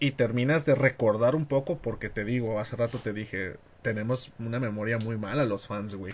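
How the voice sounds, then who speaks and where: Somewhat breathy, the voice holds a moderate pace and shows ordinary pitch variation. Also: man, medium pitch for a man. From Mexico, Tijuana. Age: 20s. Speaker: wrestling fan. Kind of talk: casual chat.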